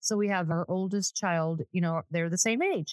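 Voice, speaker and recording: A woman with a normal speaking voice talks at a moderate pace and medium pitch, with ordinary pitch variation. The sound is dry and close, with no echo. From Southern California. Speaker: real estate agent. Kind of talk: casual chat.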